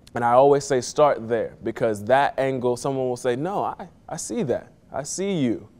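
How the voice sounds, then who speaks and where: With a plain, everyday voice, a man speaks in an American accent at a medium pitch and moderate pace, with ordinary pitch variation, hardly any pauses and a very clean recording on a silent background. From Miami, Florida. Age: 30s. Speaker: playwright and poetry mentor. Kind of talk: tutorial.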